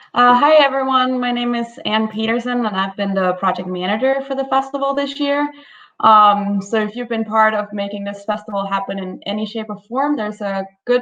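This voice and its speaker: Moderate pace with ordinary pitch variation. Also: woman. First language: Danish. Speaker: festival project manager. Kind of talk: prepared thank-you message.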